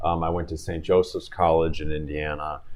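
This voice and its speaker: A man talks with an American accent. Audible room echo surrounds his voice. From Chicago area, US Midwest. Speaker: personal injury attorney. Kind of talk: interview.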